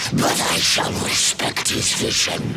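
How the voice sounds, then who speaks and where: A man puts on a cartoonish character voice over loud background noise. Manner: haughty, theatrical.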